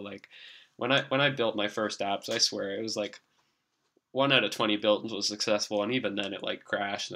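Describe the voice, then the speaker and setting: The speaker uses a put-on character voice at a fairly quick pace. The words come out mumbled. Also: man, fairly low pitch for a man. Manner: mumbling.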